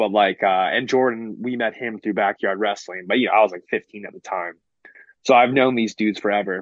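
A man speaks at a moderate pace with an American accent, his pitch fairly low. He has a normal speaking voice. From US West Coast, San Francisco Bay Area. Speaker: pro wrestler. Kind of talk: casual interview.

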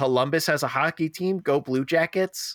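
A man with an unremarkable speaking voice, lively intonation and a moderate pace, in a dry, close sound with no echo on a very clean recording, silent background. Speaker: podcast host. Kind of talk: casual chat.

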